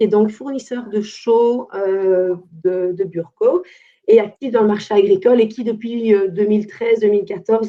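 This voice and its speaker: A woman has a normal speaking voice. She talks at a fairly slow pace with a fairly high pitch. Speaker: environmental consultant. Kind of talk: webinar presentation.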